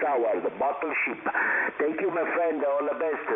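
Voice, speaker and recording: A man in an Italian accent, fairly high pitch with ordinary variation, audible room echo, and noticeable background noise. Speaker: amateur radio operator. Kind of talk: ham radio contacts. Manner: halting.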